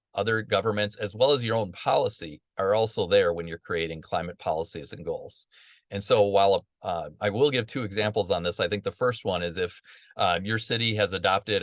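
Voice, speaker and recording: Against a quiet background, a man talks at a fairly quick pace and fairly low pitch with ordinary pitch variation, the sound dry and close with no echo. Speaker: webinar facilitator. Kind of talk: online training webinar. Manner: fast.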